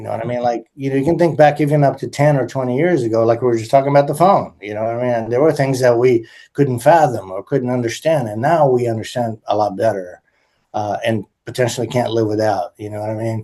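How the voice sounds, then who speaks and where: Very fast speech from a man with an American accent and a dark, mellow tone, set against a quiet background. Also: medium pitch for a man, ordinary pitch variation. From United States. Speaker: musician and composer. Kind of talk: interview conversation. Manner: halting, many fillers.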